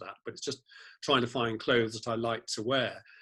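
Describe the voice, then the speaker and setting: A man speaks very fast with a British accent. His tone is bright and sharp. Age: 60s. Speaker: fashion blogger, former lawyer. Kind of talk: interview conversation.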